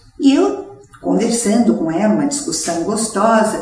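A woman with a fairly high voice speaks at a moderate pace, her pitch swinging very widely, with audible room echo and noticeable background noise. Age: 70s. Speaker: businesswoman. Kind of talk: interview.

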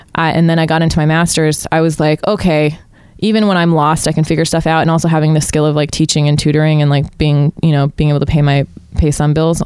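A woman with an American accent speaks at a very fast pace and a very deep, low pitch. Her intonation is monotone and flat, and her loudness stays very even. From Utah. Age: 20s. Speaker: comedian and scientist. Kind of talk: casual chat.

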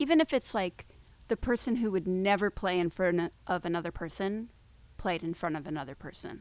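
In a plain, everyday voice, a woman at medium pitch speaks at a moderate pace with ordinary pitch variation, in a very clean recording with a silent background. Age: 40s. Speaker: violist and program director. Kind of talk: casual chat. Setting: outdoors.

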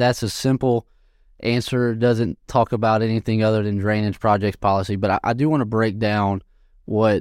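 A man with an American accent talks at a fairly quick pace in a normal speaking voice, fairly low in pitch. His intonation stays fairly even, and the recording is very clean with a silent background. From southwest Louisiana (Sulphur, near Texas). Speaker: civil engineer. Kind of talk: interview.

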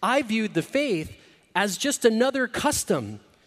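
A man speaks with lively intonation. His pace is fairly slow. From Latin America (Mexico, Argentina, Venezuela, Caribbean). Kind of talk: inspirational talk. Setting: stage with audience.

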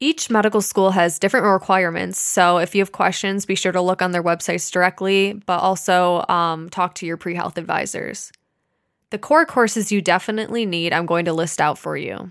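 A plain, everyday voice moves at a fairly quick pace with fairly even intonation. The recording is very clean, with a silent background. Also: woman, medium pitch for a woman. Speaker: medical student podcast co-host. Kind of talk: casual educational chat.

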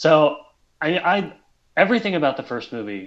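A man's pitch swings very widely as he talks against a quiet background. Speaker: writer. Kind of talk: casual chat.

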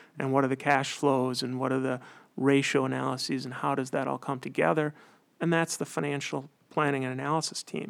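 A man at medium pitch with a Wisconsin accent keeps fairly even intonation in a very clean recording with a silent background. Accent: Upper Midwest (Wisconsin). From central Wisconsin. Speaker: accountant. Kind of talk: interview.

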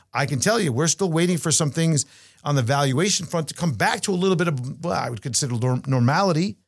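A man talks at a very fast pace and fairly high pitch, somewhat breathy, with lively intonation. The recording is very clean with a silent background. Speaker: podcast host and portfolio manager. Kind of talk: casual chat.

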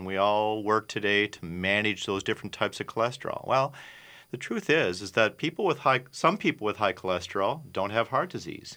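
A man with an Upper Midwest accent, fairly low pitch with ordinary pitch variation, a bright, sharp tone and a fairly quick pace, on a very clean recording with a silent background. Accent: Upper Midwest American. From Minnesota, South Minneapolis. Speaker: physician and lab founder. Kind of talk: radio interview. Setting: radio studio.

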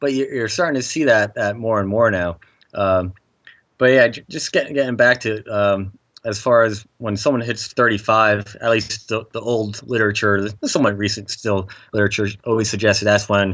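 A man at a fairly low pitch, moderate in pace, with fairly even intonation. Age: 30s. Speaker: exercise physiologist. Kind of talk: casual interview. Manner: halting, many repetitions.

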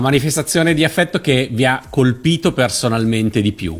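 A man with a normal speaking voice and medium pitch uses lively intonation on a very clean recording with a silent background. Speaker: radio host. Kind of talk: live radio interview.

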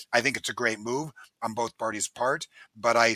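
At a moderate pace, a man speaks in a bright, sharp tone, recorded very clean with a silent background and a dry, close sound with no echo. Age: 60s. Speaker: company president. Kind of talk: interview.

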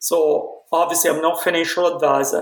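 The speaker has an Italian accent. The pace is fairly slow. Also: man. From Italy, Milan. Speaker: dentistry professor. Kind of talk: interview. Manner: halting.

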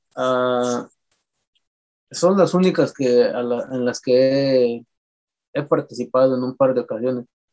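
With a Michoacán accent, a man talks at a very slow pace in a medium pitch, his intonation fairly even and broken by long, frequent pauses. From Jarácuaro, Lake Pátzcuaro, Michoacán, Mexico. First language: P'urhépecha (speaking Spanish). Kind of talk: interview. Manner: halting, many repetitions.

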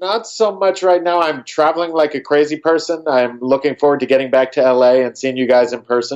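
This man has a normal speaking voice, fairly high in pitch, with ordinary pitch variation. He moves at a fairly quick pace with hardly any pauses. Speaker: podcast co-host, audio engineer. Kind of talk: casual chat. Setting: Skype call from hotel.

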